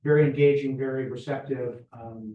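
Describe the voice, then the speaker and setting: Audible room echo surrounds a man speaking at a fairly slow pace with a medium pitch. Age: 70s. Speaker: Rotary club member. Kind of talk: club meeting announcements. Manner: casual.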